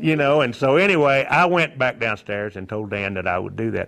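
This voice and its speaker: Lively intonation marks this man's speech in a Texan accent. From Texas, Fort Worth. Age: 60s. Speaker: newspaper publisher. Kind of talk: interview. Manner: halting.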